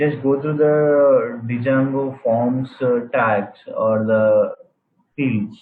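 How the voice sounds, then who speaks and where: His is an ordinary speaking voice, a man's at medium pitch with fairly even intonation. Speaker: programming instructor. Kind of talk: live online class.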